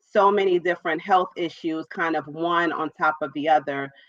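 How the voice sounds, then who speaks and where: Speaking at a fairly quick pace with fairly even intonation, a woman with a very deep, low pitch talks in a New York accent. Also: dry, close sound with no echo. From New York, Brooklyn. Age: 40s. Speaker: entrepreneur and author. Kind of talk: interview.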